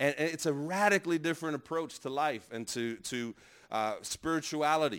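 A man speaks at a moderate pace in an unremarkable speaking voice. His intonation is lively. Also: very clean recording, silent background. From Brooklyn, New York. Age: 30s. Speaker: pastor. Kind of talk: workshop talk.

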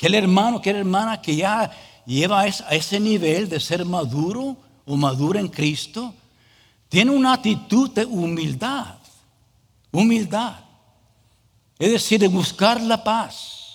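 A man with an English accent, high pitch and lively intonation, at a fairly slow pace with long, frequent pauses. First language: English (speaking Spanish). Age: 40s. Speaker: pastor. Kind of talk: sermon. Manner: halting.

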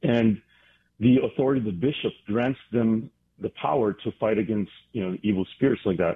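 At a moderate pace, a man with a plain, everyday voice speaks in a medium pitch with ordinary pitch variation. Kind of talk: radio interview.

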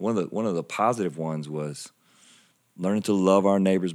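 The recording is very clean, with a silent background. A man with a Southern US accent speaks at a fairly quick pace. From South Carolina. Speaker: church pastor. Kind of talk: casual interview chat.

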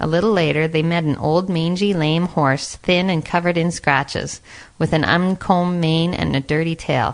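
Speaking with fairly even intonation, a woman's fairly low pitch comes through an unremarkable speaking voice at a moderate pace. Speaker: narrator. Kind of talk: fairy-tale narration.

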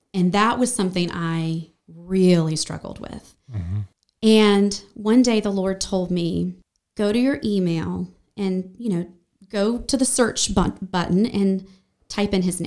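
Delivered in an ordinary speaking voice with an American accent, the speech has ordinary pitch variation and a fairly slow pace. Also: woman, medium pitch for a woman. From western North Carolina (Brevard, Asheville). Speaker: church member sharing her life story. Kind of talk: personal testimony in a podcast interview.

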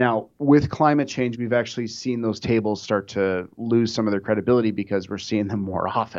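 At a moderate pace, a man with an unremarkable speaking voice and an American accent speaks at a medium pitch with ordinary pitch variation. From Minnesota, US Midwest. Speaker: insurance underwriter. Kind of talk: interview. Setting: studio.

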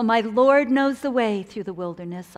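A woman speaking at a fairly slow pace. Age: 60s. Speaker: conference speaker. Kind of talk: sermon.

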